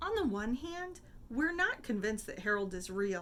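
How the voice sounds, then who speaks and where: A woman uses a put-on character voice, fairly high in pitch with very wide pitch swings, at a moderate pace over clear background noise. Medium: read story. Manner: measured.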